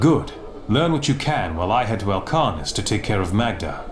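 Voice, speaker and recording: A man performs a put-on character voice at medium pitch and a fairly quick pace. Clear background noise and slight echo are audible. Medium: video game. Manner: confident.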